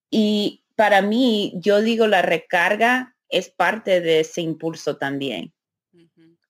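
A woman speaks very slowly at a medium pitch, with lively intonation and big swings in loudness. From US (Maryland and New Orleans), Honduran parents. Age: 30s. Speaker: podcaster and business development professional. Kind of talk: interview conversation. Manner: halting, with filler words and code-switching.

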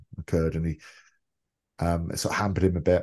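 Against a quiet background, a man in a Welsh accent speaks with a very deep, low pitch. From Wales (Tenby), early childhood in London. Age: 40s. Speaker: former rugby player. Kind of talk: interview.

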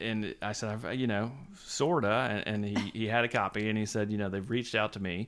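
A man with an American accent speaks at a fairly quick pace in a fairly low pitch, with fairly even intonation, in an ordinary speaking voice, on a very clean recording with a silent background. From US South, Savannah, Georgia. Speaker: magazine editor. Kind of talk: casual interview chat. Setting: office.

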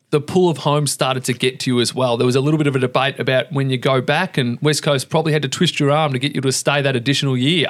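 Very fast speech with fairly even intonation. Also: man. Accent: Australian. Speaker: podcast host. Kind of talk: interview.

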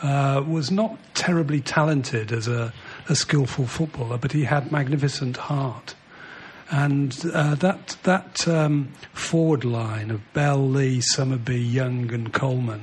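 Someone with a Mancunian accent speaks at a fairly slow pace with ordinary pitch variation over noticeable background noise. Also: man, fairly high pitch for a man. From Manchester, England. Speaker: former footballer. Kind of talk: casual chat.

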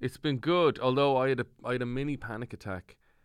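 The speaker has an Ulster accent. The recording is very clean and the background silent. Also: man. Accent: Irish (Cavan). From Ireland, County Cavan. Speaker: comedian. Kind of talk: casual chat.

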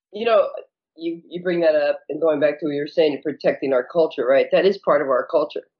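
A woman's voice, fairly low in pitch. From California, Mexican-American family. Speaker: chef and activist. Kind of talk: casual interview. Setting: podcast.

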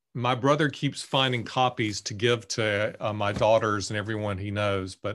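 A man's medium-pitched voice with an Alabama accent at a fairly slow pace over a quiet background. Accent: Southern US (Alabama). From US South, Bessemer, Alabama. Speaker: author and English professor. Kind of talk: casual interview.

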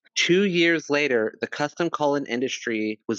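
A man with a plain, everyday voice, lively intonation and a fairly slow pace, in a dry, close sound with no echo and a quiet background. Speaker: podcast co-host. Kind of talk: casual chat.

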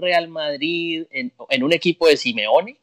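A man speaks at a high pitch and a fairly slow pace with lively intonation. The very clean recording has a silent background and a dry, close sound with no echo. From Colombia. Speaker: sports podcast co-host. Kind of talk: interview.

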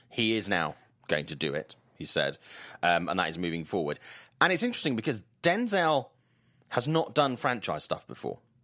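With a Welsh accent, a man swings his pitch very widely. The recording is very clean, with a silent background. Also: long, frequent pauses. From Swansea, South Wales. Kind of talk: casual chat.

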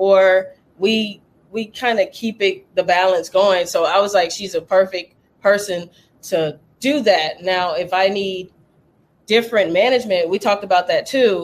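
This voice carries a Lowcountry accent. The pace is fairly slow. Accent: Southern US, Lowcountry. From US South, Charleston, South Carolina. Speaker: DJ. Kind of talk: casual chat.

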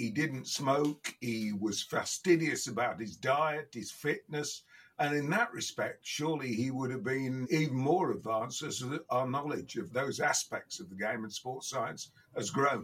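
A man with a Midlands accent speaks at a fairly high pitch. His pace is fairly slow and his intonation lively. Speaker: podcast guest, football pundit.

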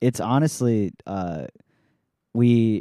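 An American-accented man speaks in a dark, mellow tone, the sound dry and close with no echo. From US Midwest. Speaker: podcast host. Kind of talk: casual chat. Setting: online voice call.

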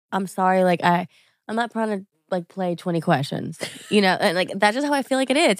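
A woman with an American accent has a plain, everyday voice, speaking fairly quickly at a medium pitch with lively intonation in a dry, close sound with no echo. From Louisiana, US South. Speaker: influencer. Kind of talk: casual chat.

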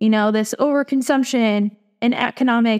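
A woman speaks with a fairly high pitch and fairly even intonation. Hers is an unremarkable speaking voice. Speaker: podcast co-host. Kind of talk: casual interview.

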